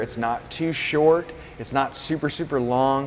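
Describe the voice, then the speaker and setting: There's noticeable noise in the background. Over it, a man talks with fairly even intonation. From Florida, US. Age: 30s. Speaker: fitness coach. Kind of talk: interview. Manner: halting.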